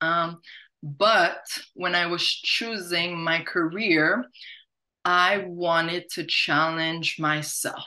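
A woman talks slowly in a bright, sharp tone, her fairly low voice keeping a fairly even intonation.

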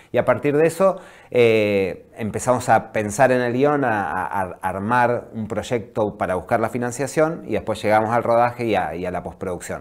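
The intonation is lively and the pace moderate. The background stays quiet. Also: man. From Viedma, Patagonia, Argentina; Argentina. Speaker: documentary film director; guest. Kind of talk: interview. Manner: halting. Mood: calm, thoughtful. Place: studio. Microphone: lapel.

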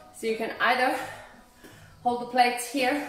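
Music plays in the background as a woman speaks at a high pitch with audible room echo. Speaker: fitness instructor. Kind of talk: workout instruction. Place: gym. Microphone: phone near.

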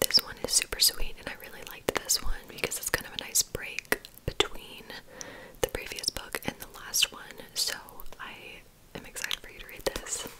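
Whispering at a moderate pace, a woman's voice rises and falls widely in loudness. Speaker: ASMR creator. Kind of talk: ASMR bookstore checkout roleplay, chatty talk to the listener. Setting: studio, typing and book sounds. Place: home room. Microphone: studio mic.

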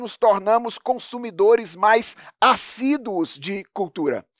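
A man speaks with lively intonation against a quiet background. The sound is dry, with no echo. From Brazil, Minas Gerais. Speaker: pastor. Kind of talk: lecture. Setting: stage with audience. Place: studio. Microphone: headset.

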